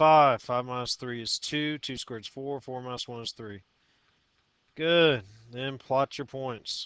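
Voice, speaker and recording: At a fairly slow pace, a man with a medium pitch and fairly even intonation speaks in a plain, everyday voice, his loudness swinging widely, the sound dry and close with no echo over a quiet background. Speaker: math teacher. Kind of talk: tutorial.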